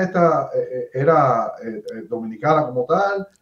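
A man's voice in audible room echo, the background quiet. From Cuba. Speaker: YouTube interviewer. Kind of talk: interview. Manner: halting, with many repetitions. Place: home room.

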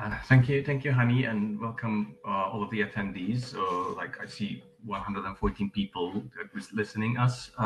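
Against noticeable background noise, a man speaks at a fairly slow pace and fairly low pitch. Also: ordinary pitch variation. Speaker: open mapping trainer. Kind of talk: webinar presentation. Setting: video call.

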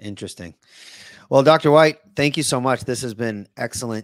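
In a dry recording with no echo and a quiet background, a man talks at a fairly quick pace with ordinary pitch variation. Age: 40s. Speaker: podcast host and teacher; podcast host, teacher. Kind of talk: casual interview. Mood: polite, grateful. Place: home room.

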